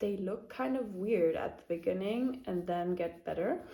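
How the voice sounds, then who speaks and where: Speaking with a German accent, a woman uses a medium pitch with ordinary pitch variation. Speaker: knitting podcaster. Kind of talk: casual chat. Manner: hesitant, many fillers.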